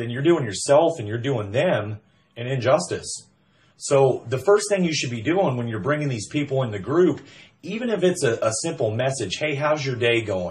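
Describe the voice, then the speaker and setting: A man speaks loudly at a medium pitch and moderate pace. His tone is animated, with very wide pitch swings. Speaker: MLM recruiter. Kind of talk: sales pitch.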